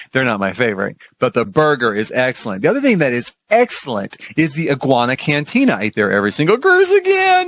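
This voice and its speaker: A man talks very fast at medium pitch, his tone animated and his intonation lively. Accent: American. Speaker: cruise vlogger. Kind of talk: casual vlog review.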